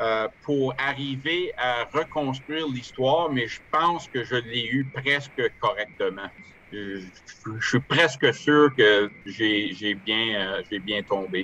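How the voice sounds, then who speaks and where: Someone with an Ottawa accent talks at a very slow pace with ordinary pitch variation. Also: man, medium pitch for a man. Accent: Ottawa French-Canadian. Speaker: author and amateur historian. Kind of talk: online lecture with Q&A. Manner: halting, many hesitations and repetitions.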